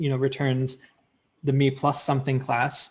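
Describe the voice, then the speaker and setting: With a medium pitch, a man speaks in a somewhat breathy voice. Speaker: software demo presenter. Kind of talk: live software demo. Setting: video call. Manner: fast.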